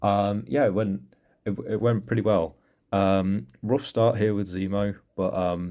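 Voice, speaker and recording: A man with a dark, mellow tone at a fairly slow pace. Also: fairly low pitch for a man, ordinary pitch variation. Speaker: mobile game player. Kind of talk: casual game walkthrough commentary. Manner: hesitant, stuttering at times.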